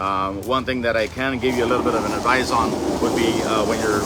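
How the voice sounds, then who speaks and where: Amid noticeable background noise, a medium-pitched man rattles along at a very fast pace with monotone, flat intonation. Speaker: longtime auction staff member and buyer. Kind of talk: interview answer. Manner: casual, conversational with filler words.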